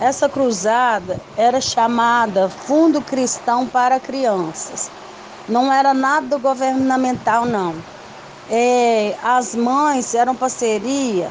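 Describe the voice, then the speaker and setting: At a very slow pace, a woman with a high pitch and ordinary pitch variation keeps a very even loudness over noticeable background noise. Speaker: daughter of the guest. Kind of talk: casual recounting.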